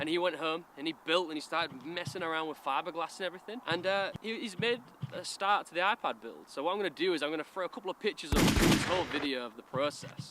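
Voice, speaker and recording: A man with a Hull accent talks very fast at a high pitch, with ordinary pitch variation, hardly any pauses and noticeable background noise. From Hull, England. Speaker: car modifier YouTuber. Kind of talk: casual talk to camera. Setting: in a car.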